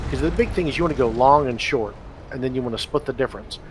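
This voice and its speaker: Noticeable background noise behind a man's speech, with ordinary pitch variation. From Texas. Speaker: game developer. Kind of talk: live stream commentary. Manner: fast.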